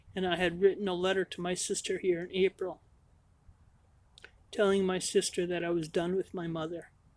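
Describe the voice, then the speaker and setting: The recording is very clean with a silent background. Delivery is monotone and flat at a moderate pace. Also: woman. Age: 50s. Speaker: vlogger. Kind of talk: personal storytelling. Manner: halting.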